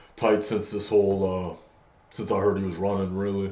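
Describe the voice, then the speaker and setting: A man speaks with a very deep, low pitch. The room echo is audible. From Acadian French-speaking Canada. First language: French. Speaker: MMA fighter. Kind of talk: casual chat.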